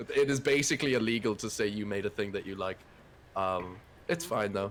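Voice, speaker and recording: With an Irish accent, a man of fairly low pitch speaks at a fairly quick pace with lively intonation. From Ireland. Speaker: indie game developer. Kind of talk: casual chat.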